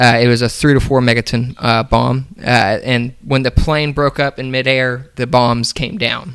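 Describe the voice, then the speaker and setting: At a fairly slow pace, a man with a medium-pitched voice speaks in a normal speaking voice and fairly even intonation. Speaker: podcast co-host. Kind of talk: casual comedic chat.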